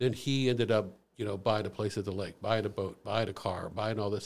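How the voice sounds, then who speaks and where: Very clean and silent in the background, the recording carries a man with a Midwestern American accent. He talks very fast at a fairly low pitch. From US Midwest, St. Louis area. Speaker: former finance professional, ex-prisoner. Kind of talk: personal testimony interview.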